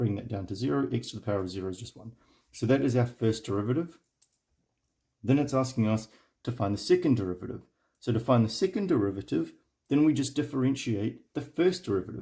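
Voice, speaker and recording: A man's very fast speech, broken by long, frequent pauses, somewhat breathy and dark and mellow in tone, with very wide pitch swings. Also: medium pitch for a man. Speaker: math tutor. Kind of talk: tutorial.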